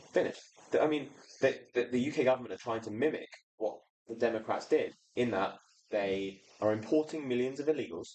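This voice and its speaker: With an English accent, a man speaks at medium pitch, leaving long, frequent pauses. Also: ordinary pitch variation, fairly quick pace. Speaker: activist writer. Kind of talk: casual chat. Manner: animated.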